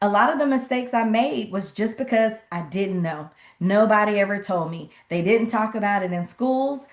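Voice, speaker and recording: A woman speaks in a Southern US accent at a moderate pace. Her voice sits at medium pitch with ordinary pitch variation. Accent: Southern twang. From US South, Atlanta, Georgia. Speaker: financial literacy coach and speaker. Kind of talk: online workshop presentation. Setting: livestream webinar with chat.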